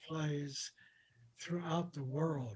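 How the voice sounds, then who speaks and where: Speaking at a fairly slow pace, a man uses a somewhat breathy, fairly high voice with fairly even intonation. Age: 80s+. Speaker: documentary executive producer. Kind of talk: interview conversation.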